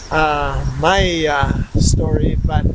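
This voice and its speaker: A man is talking. Noticeable background noise is present. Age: 60s. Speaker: missionary preacher. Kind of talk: recorded video message. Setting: outdoors in a backyard. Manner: hesitant, many fillers.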